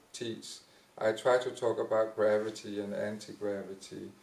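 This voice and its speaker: Medium pitch from a man with an ordinary speaking voice, delivered at a moderate pace. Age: 50s. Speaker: dancer and dance teacher. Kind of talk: panel discussion.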